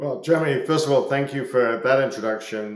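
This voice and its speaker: Ordinary pitch variation marks this man's speech, delivered with a slight Scottish accent. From Scotland. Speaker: business executive. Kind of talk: podcast interview. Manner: hesitant, many fillers and repetitions.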